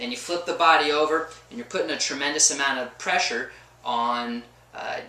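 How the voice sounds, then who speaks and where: A man's fairly high-pitched voice with ordinary pitch variation, audible room echo and noticeable background noise. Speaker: chiropractor. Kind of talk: informal health advice monologue. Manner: fast; animated.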